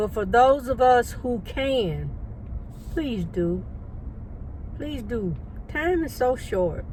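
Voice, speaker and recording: In a room with audible echo, a woman talks very slowly in a relaxed tone, leaving long, frequent pauses. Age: 60s. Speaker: lifestyle vlogger. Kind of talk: casual vlog monologue. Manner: relaxed, rambling with fillers.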